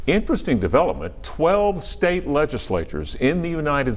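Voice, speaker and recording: Vocal fry from a man speaking at a fairly slow pace, with audible room echo. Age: 70s. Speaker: TV news anchor. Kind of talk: live election coverage. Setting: TV studio.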